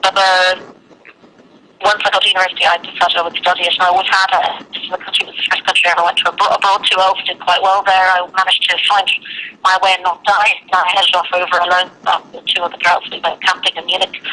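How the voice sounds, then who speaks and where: A woman at a medium pitch, very fast and monotone with flat intonation, amid noticeable background noise. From London, later Ireland. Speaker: emigrant teacher. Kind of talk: interview.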